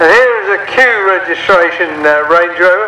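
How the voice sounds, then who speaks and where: With a raised, projected voice, a man talks at a fairly quick pace and ordinary pitch variation, with audible room echo and light background noise. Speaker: show ring commentator. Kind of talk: commentary. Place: open country.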